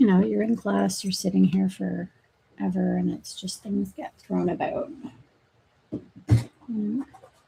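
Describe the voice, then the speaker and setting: A woman speaks at a very slow pace, mumbling her words. Her loudness swings widely. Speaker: nursing grad student and livestreamer. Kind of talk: casual livestream chat.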